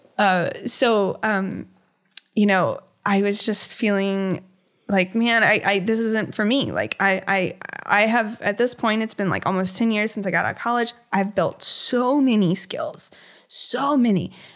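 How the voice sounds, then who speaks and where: A woman with an unremarkable speaking voice talks with fairly even intonation on a very clean recording with a silent background. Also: fairly high pitch for a woman, fairly slow pace. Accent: American. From Virginia, US (Hampton Roads). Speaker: painter. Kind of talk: interview conversation.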